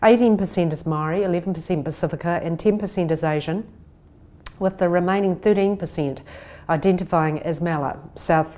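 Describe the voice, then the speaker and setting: A woman with a New Zealand accent, fairly low in pitch, dark and mellow in tone, at a moderate pace. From New Zealand (Christchurch), from Taiwan at age six. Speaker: conference speaker. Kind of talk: recorded talk. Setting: pre-recorded video message.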